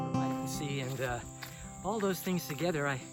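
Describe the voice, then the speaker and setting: Music plays behind a man with a fairly high pitch. He speaks at a fairly quick pace with fairly even intonation. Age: 70s. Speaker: vlogger. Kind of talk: casual monologue. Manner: halting.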